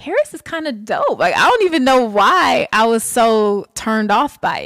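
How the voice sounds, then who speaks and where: A woman with an Atlanta accent, animated tone and lively intonation at a fairly slow pace. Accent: Southern US, Atlanta. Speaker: podcast co-host. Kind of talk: casual chat, podcast banter. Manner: animated, laughing often.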